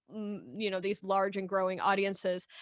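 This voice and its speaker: A woman's normal speaking voice at medium pitch and moderate pace, on a very clean recording with a silent background. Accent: American. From Michigan. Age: 20s. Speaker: Etch-a-Sketch artist. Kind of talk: casual interview chat.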